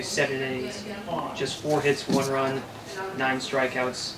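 A man speaks at a fairly slow pace with medium pitch. Background noise is clearly audible.

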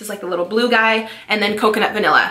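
A bright, sharp tone in a Californian accent, with ordinary pitch variation and audible room echo. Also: woman. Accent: Californian American.

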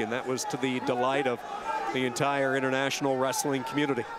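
Medium-pitched male voice at a moderate pace, amid noticeable background noise. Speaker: wrestling commentator. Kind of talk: live sports commentary. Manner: knowledgeable, giving background on athletes.

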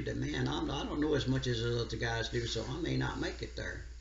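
A man with a very deep, low pitch and an American accent, very fast and monotone, amid noticeable background noise and audible room echo. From US South, rural central Louisiana. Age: 80s+. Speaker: steel guitar player. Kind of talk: interview. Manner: halting.

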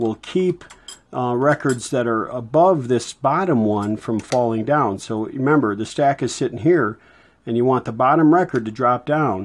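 Ordinary pitch variation marks a man's speech, which proceeds at a moderate pace. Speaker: hobbyist radio restorer. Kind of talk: tutorial. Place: workshop. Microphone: phone near.

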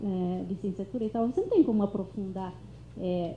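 A woman with a medium pitch and a dark, mellow, somewhat breathy tone speaks with audible room echo and light background noise. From southern Brazil, Kaingang village; southern Brazil. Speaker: panelist. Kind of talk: academic panel talk. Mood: relaxed, smiling. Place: classroom. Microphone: handheld.

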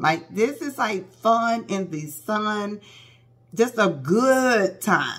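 A woman speaks in an animated tone with vocal fry. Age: 40s. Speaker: beauty vlogger. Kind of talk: casual vlog talk to camera. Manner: animated, chatty. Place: home room. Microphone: phone near.

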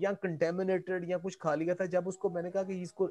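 A man's high-pitched voice at a fairly slow pace. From Pakistan. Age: 60s. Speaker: agronomy professor. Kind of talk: webinar lecture. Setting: video call. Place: home room. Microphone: earbuds.

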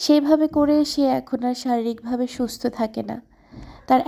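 A woman's high-pitched voice with a dark, mellow tone and fairly even intonation. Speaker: vlogger. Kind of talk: vlog narration.

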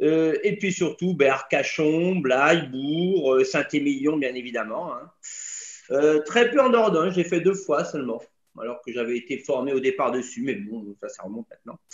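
A man with a fairly high voice speaks at a fairly slow pace with lively intonation and big swings in loudness, the background quiet but the room echo audible. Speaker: tour guide. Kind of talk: casual webinar talk. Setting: video call. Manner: jovial, humorous. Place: home room. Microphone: video call.

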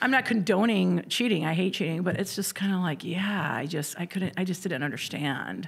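A woman speaks with a fairly low pitch and an American accent, at a moderate pace with hardly any pauses. Her pitch varies in an ordinary way, and there is vocal fry. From Indiana. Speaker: comedian. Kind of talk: casual chat. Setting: studio. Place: studio. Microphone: studio mic.

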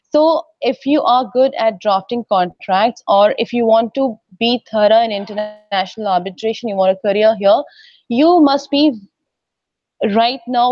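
A woman talks at a fairly slow pace in a dry, echo-free sound, with faint music playing in the background. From India. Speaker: in-house lawyer. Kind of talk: interview. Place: hall. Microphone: earbuds.

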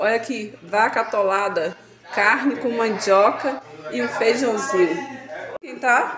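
A woman speaks at a very slow pace with ordinary pitch variation and big swings in loudness. Noticeable background noise is present. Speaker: vlogger, daughter of the birthday woman. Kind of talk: casual vlog talk to camera. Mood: cheerful, festive. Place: kitchen. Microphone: phone near.

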